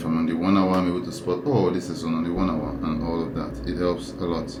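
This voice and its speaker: Through noticeable background noise and audible room echo, a man speaks with a very deep, low pitch. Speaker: trading educator. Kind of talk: tutorial. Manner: thinking aloud, sometimes mumbling; halting, with self-repeats.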